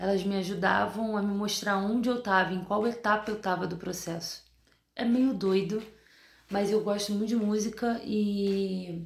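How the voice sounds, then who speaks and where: A woman speaks quietly. Her intonation stays monotone and flat. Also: medium pitch for a woman, fairly slow pace. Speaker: dentist and vlogger. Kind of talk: video diary. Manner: speaking quietly.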